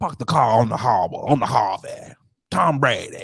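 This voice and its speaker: Putting on a character voice, a man speaks in a raspy, medium-pitched tone at a moderate pace. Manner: jokey demo.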